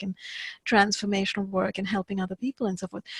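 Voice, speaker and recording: A woman's voice, somewhat breathy. The sound is dry and close, with no echo. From India. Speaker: podcast interviewer. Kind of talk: interview.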